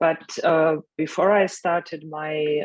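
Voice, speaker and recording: In a German accent, a woman talks in a flat monotone with a fairly low pitch. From Germany. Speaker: development economics expert. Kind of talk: panel discussion.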